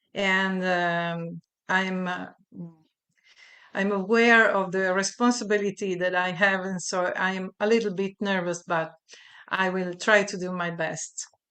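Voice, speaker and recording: In a quiet background, a woman with an Italian accent speaks at a fairly slow pace and medium pitch, her bright, sharp tone delivered in a monotone, flat intonation. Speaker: voice teacher and researcher. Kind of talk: research presentation. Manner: halting.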